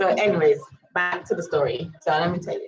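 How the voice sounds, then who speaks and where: In an American accent, a woman speaks at a fairly low pitch in a somewhat breathy voice. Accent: Virgin Islands accent, noticed by others. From US Virgin Islands, Saint Thomas. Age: 30s. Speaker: vlogger. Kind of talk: storytime monologue. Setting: live stream. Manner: animated.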